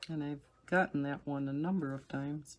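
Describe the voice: The speech moves at a moderate pace. Its intonation stays fairly even. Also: woman, low pitch for a woman.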